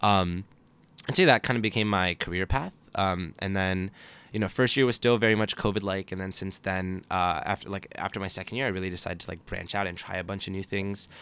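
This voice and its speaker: A man talks at a fairly quick pace with a fairly low pitch and fairly even intonation. The recording is very clean, with a silent background. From Texas, Dallas area, later northern Virginia. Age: 20s. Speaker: university student. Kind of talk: casual chat. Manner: hesitant, many fillers.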